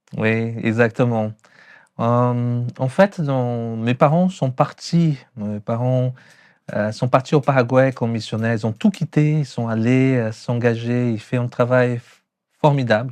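Speaking very slowly with a Brazilian accent, a man uses a medium pitch and ordinary pitch variation over a quiet background. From Brazil, São Paulo. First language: Portuguese (speaking French). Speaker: pastor. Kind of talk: testimony. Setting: hair salon. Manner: sing-song.

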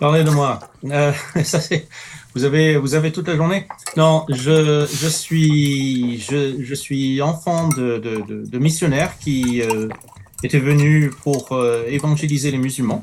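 Fairly high male voice at a very slow pace, with fairly even intonation and noticeable background noise. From Middle East. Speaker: writer and campus ministry worker. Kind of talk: panel discussion.

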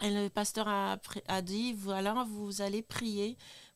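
The speaker is a woman with a medium pitch. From Niger. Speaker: human resources staff member. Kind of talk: testimony.

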